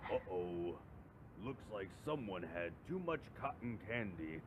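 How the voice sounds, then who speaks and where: A man's put-on character voice, fairly low in pitch and fairly slow in pace, over loud background noise. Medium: read story. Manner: loud, almost mocking.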